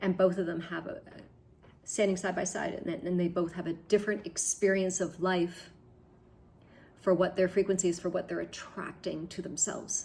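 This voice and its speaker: Here a woman with a Canadian accent talks at a medium pitch and a moderate pace. Her voice is somewhat breathy, with fairly even intonation. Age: 60s. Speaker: spiritual vlogger. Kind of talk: personal video diary. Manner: halting, with frequent repetitions; reflective.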